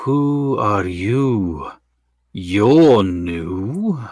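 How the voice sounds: A man's put-on character voice at a medium pitch.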